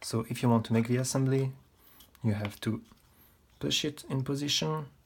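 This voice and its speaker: Somewhat breathy, a man with a non-native accent speaks with ordinary pitch variation. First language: not English. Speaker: model kit reviewer. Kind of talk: product review tutorial. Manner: halting.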